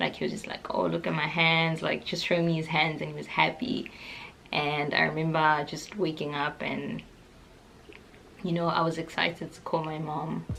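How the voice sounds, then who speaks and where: A woman speaks at a moderate pace in a very deep, low pitch with vocal fry, a bright, sharp tone, fairly even intonation and big swings in loudness. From South Africa. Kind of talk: casual talk to camera.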